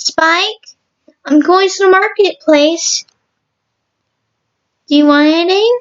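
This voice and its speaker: A woman puts on a character voice at an extremely high pitch. She goes at a fairly slow pace, with long, frequent pauses. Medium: read story. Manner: precise, earnest.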